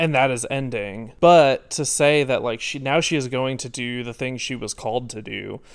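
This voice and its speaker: An unremarkable speaking voice at a moderate pace, with hardly any pauses and fairly even intonation. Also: man, medium pitch for a man. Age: 20s. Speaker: podcast co-host. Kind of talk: casual chat.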